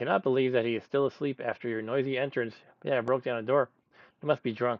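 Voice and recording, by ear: Reading aloud in a natural voice, intonation held fairly even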